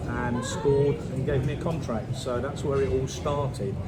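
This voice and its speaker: Audible room echo and noticeable background noise accompany a man speaking at medium pitch. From southern England (Luton). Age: 60s. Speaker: retired footballer. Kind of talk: interview.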